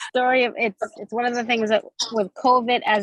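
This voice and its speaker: Speaking at a moderate pace with a Massachusetts accent, a woman comes through with a dry, close sound and no echo. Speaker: direct sales consultant and teacher. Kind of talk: video call group chat. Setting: video call. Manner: halting.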